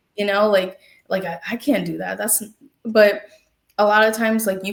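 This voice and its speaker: A woman talks with an American accent. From US. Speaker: therapist. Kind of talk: interview. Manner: halting, many fillers.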